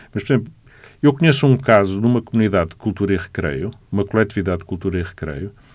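A man talks with a Lisbon accent and ordinary pitch variation. The background is quiet. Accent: Lisbon European Portuguese. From Portugal, Lisbon. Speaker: architect and city councillor. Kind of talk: radio interview.

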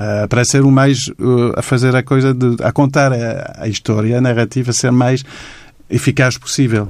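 On a very clean recording with a silent background, a man speaks at a moderate pace with a medium pitch and a monotone, flat intonation. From Quebec, Montreal. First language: French (speaking Portuguese). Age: 50s. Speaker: illustrator. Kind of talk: interview. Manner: halting.

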